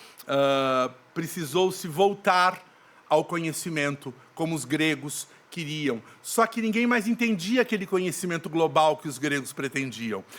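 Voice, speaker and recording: A man with a fairly high pitch and lively intonation speaks at a fairly slow pace. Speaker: actor and theatre director. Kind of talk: podcast interview.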